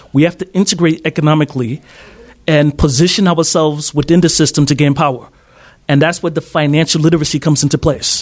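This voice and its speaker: An unremarkable speaking voice comes through, with ordinary pitch variation. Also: man. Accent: American. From US Northeast, Harlem, New York City. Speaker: activist. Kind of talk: casual interview conversation.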